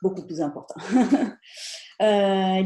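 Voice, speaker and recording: A woman speaks in an Italian accent at medium pitch, with a dark, mellow tone. Her pace is moderate and her pitch varies in an ordinary way. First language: Italian (speaking French). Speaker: content marketing trainer. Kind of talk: webinar presentation. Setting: online webinar.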